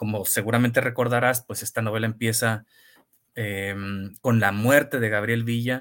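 His delivery keeps to a moderate pace. The man's voice has a medium pitch. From Tijuana, Mexico. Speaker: novelist. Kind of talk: interview. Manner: halting, many repetitions.

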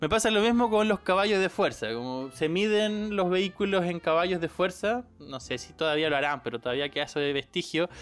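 With music playing behind him, a man with a Chilean accent speaks at a high pitch with hardly any pauses. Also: lively intonation, fairly quick pace. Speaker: podcast co-host. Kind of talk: casual chat. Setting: recording at home.

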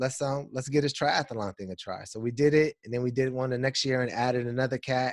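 On a very clean recording with a silent background, a man uses a normal speaking voice at a fairly quick pace with fairly even intonation. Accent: American. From Southern California (Los Angeles, Pasadena). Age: 30s. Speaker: attorney and mediator, fatherhood blogger. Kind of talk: casual interview conversation.

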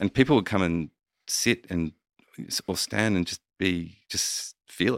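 A man with an Australian accent and a very deep, low pitch, ordinary pitch variation, a fairly slow pace and long, frequent pauses, on a very clean recording with a silent background and a dry, close sound with no echo. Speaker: meditation teacher and mentor. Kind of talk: casual chat. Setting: video podcast.

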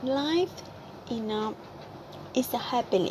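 Her intonation is lively as a woman speaks at a very slow pace. There is noticeable background noise. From Vietnam. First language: Vietnamese. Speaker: podcaster and cafe worker. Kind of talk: personal monologue. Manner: halting, many fillers.

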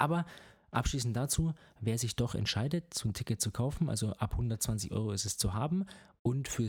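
On a very clean recording with a silent background, a man speaks with lively intonation and a somewhat breathy voice. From Bavaria. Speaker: triathlon podcast co-host. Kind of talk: casual chat.

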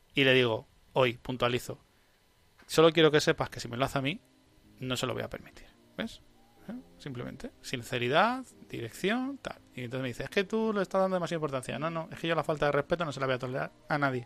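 A man talks at a very fast pace with lively intonation and a fairly high pitch. His loudness swings widely, and music plays in the background. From Spain. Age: 30s. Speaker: podcast host. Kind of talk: casual chat. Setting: live stream.

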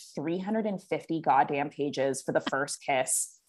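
On a very clean recording with a silent background, a woman with a Californian accent speaks with very wide pitch swings. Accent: General American (Californian). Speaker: business coach. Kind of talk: casual interview chat.

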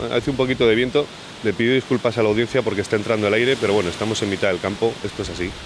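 Very fast speech with fairly even intonation runs over noticeable background noise. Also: man, medium pitch for a man. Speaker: podcast host. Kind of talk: interview; scripted narration. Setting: outdoors.

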